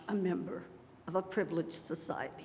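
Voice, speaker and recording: There's noticeable noise in the background. Over it, a woman talks. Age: 70s. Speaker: local resident testifying. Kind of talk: testimony. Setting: public hearing room with audience. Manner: partly read from notes.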